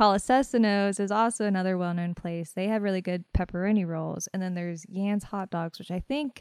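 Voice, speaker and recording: A woman with an American accent and ordinary pitch variation, in a dry, close sound with no echo. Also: very clean recording, silent background. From northern West Virginia, Fairmont. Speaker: oncology nurse. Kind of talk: interview. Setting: hospital, in person. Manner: hesitant, many fillers.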